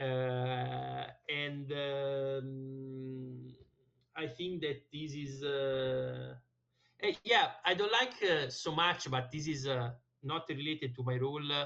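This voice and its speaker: At a very slow pace, a man with an Italian accent talks in a fairly high pitch with fairly even intonation. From Italy. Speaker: language learner, tech account manager. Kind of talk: conversation lesson with tutor. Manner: halting with many fillers.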